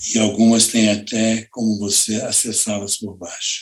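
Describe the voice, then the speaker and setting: This man has a fairly low pitch. He talks at a fairly slow pace. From Campos, Rio de Janeiro state, Brazil. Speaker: director of a cultural institution. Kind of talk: interview conversation.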